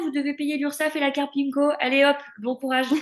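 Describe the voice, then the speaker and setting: Noticeable background noise behind a woman with a high-pitched voice. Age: 20s. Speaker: speech therapist. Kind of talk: casual chat.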